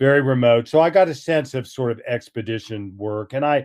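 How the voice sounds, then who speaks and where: A man talks with an American accent at a medium pitch. His pitch varies in an ordinary way, and the background is quiet. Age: 60s. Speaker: author and historian. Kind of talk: interview. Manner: halting.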